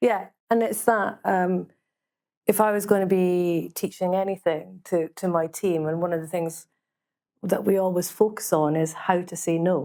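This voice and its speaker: A woman with a Scottish accent, fairly low-pitched, with a dark, mellow tone, fairly even intonation and a moderate pace, on a very clean recording with a silent background. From Scotland. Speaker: business leader panelist. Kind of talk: panel discussion.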